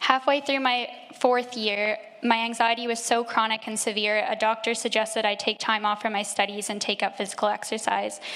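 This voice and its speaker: With a Canadian accent, a woman talks at a fairly quick pace in a fairly high pitch with fairly even intonation over noticeable background noise. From Canada, Nova Scotia. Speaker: church member being baptised. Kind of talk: testimony. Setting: church.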